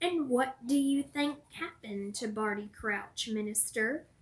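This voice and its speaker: A woman puts on a character voice that is gruff and growling, high in pitch. She speaks at a fairly slow pace. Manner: suspicious, pointed.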